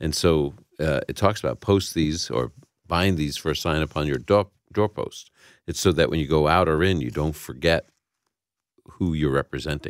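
A man's very deep, low voice with vocal fry and ordinary pitch variation at a moderate pace, dry and close with no echo, on a very clean recording with a silent background. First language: Yiddish. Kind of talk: radio Bible Q&A.

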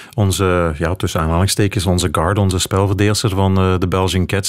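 In an ordinary speaking voice, a man talks at a moderate pace with a fairly low pitch and fairly even intonation. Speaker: cycling reporter and commentator. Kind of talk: radio panel discussion.

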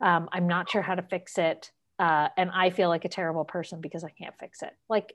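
A woman with an American accent. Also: quiet background. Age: 50s. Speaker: veterinary technician. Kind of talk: casual chat.

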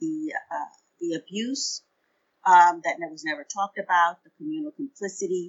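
A woman with an unremarkable speaking voice, lively intonation and a moderate pace. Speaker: pastor. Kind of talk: casual interview conversation.

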